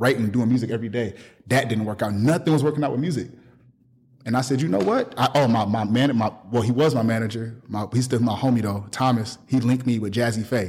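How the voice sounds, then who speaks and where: Somewhat breathy, a man speaks at a very fast pace with a medium pitch and fairly even intonation. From Milwaukee, Wisconsin, US Midwest. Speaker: clothing brand owner and business coach. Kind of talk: casual interview.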